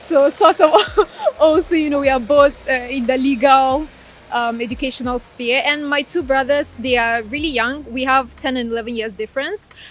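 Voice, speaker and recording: A woman speaks at a high pitch with ordinary pitch variation. Noticeable background noise runs under her voice. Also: moderate pace. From Ukraine (Crimea) and Ghana. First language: Russian. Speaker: law graduate. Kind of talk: interview.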